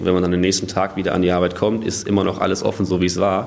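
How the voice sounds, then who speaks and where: Noticeable background noise is present throughout. The speaker's intonation stays monotone and flat. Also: man. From Germany, northern Hesse (Waldeck-Frankenberg). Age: 20s. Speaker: industrial clerk apprentice. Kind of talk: interview.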